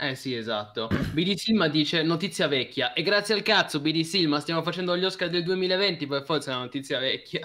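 With clear noise behind him, a man speaks rather quickly in a fairly high voice whose pitch rises and falls normally. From Piedmont, Italy (Cuneo). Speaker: podcast co-host. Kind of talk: casual chat. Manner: animated.

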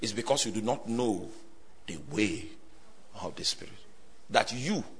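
Lively intonation marks a man's speech, which carries noticeable background noise. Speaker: pastor. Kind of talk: sermon. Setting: church.

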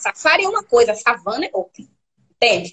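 A woman talks fairly quickly in a high voice whose pitch swings very widely. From Bahia, Brazil (Feira de Santana). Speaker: educator and researcher. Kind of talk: interview on a live stream. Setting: live online stream.

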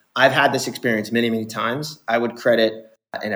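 A man talks at a fairly quick pace in an ordinary speaking voice. His medium pitch shows ordinary variation. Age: 30s. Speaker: private equity fund founder and investor. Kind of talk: casual chat.

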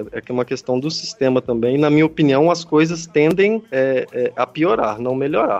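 A man at medium pitch and moderate pace with lively intonation, over noticeable background noise. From Minas Gerais, Betim near Belo Horizonte. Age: 30s. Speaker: psychology student and hip hop activist. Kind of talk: casual chat.

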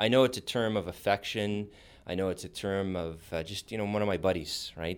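Speaking at a fairly quick pace with a Canadian accent and ordinary pitch variation, the voice comes through a very clean recording with a silent background. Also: man, fairly low pitch for a man. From Montreal, Quebec (English-speaking minority). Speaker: provincial politician, former teacher. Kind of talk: interview. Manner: hesitant, many fillers.

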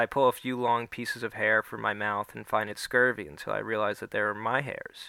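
This is an unforced reading voice. The reader keeps it that way throughout.

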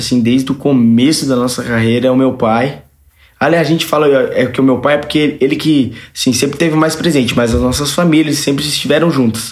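A man speaks at a fairly quick pace with medium pitch and fairly even intonation. His loudness stays very even, and the room echo is audible. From Brazil, Registro, Vale do Ribeira (São Paulo state). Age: 20s. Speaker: sertanejo singer. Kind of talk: casual chat.

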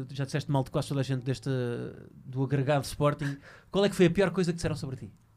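He is a man whose pitch is fairly high and whose voice is somewhat breathy. His delivery is very fast, with ordinary pitch variation. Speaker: podcast host. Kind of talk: casual chat.

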